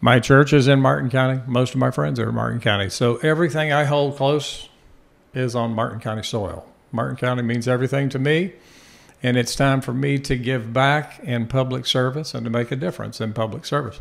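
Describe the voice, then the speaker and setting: Spoken at a fairly quick pace with fairly even intonation, this is an unremarkable speaking voice. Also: man, medium pitch for a man. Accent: American. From Florida. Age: 60s. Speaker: political candidate. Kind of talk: interview.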